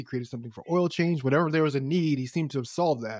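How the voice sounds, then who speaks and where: The sound is dry and close with no echo as a man talks at a very fast pace, his pitch fairly high with ordinary variation. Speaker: radio host. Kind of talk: interview intro and casual chat.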